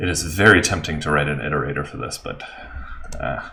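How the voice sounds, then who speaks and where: A man talks at a moderate pace with ordinary pitch variation against noticeable background noise. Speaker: software developer streaming live coding. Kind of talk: live coding stream tutorial. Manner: hesitant, many fillers.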